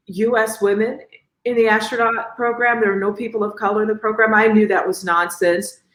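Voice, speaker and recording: At a moderate pace, a woman with an American accent speaks in a fairly high voice. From Chicago, Southside. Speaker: astronaut, engineer, physician. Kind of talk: interview answer. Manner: warm, humorous, confident.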